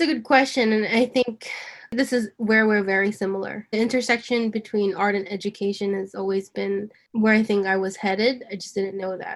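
This woman has a plain, everyday voice with fairly high pitch. She speaks fairly quickly with fairly even intonation. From New York, US. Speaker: nonprofit creative director. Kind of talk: casual conversation.

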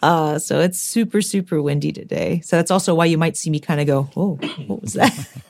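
Vocal fry at a fairly quick pace, with ordinary pitch variation. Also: woman, fairly low pitch for a woman. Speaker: ukulele player. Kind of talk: casual interview chat. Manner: casual, chatty.

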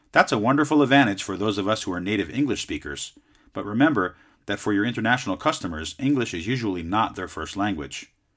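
Speaking at a very fast pace with lively intonation, a man has a fairly low pitch and a Southern Californian accent. The recording is very clean and the background silent. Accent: Southern California American. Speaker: podcast host and sales advisor. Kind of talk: scripted educational talk.

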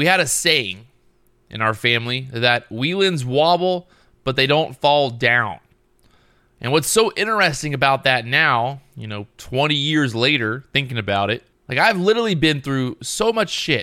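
In a very clean recording with a silent background, a man with a fairly high pitch speaks at a moderate pace in a bright, sharp, energetic tone with lively intonation. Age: 30s. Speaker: podcast host. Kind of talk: solo podcast monologue.

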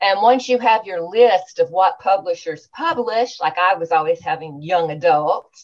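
Fairly slow, lively intonation from a woman with a Southern US accent. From Louisiana, small town. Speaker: author. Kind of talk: interview.

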